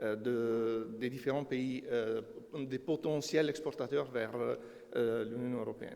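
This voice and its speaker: With a non-native accent, a man speaks at a very slow pace amid audible room echo and noticeable background noise. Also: medium pitch for a man, fairly even intonation. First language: not French (speaking French). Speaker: energy consultant. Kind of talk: conference presentation. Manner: halting, many hesitations.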